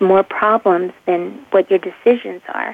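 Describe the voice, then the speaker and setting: In an American accent, a woman speaks in a normal speaking voice. Her pace is fairly slow and her pitch varies in an ordinary way. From Pittsburgh, Pennsylvania. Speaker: handwriting expert. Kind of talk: interview.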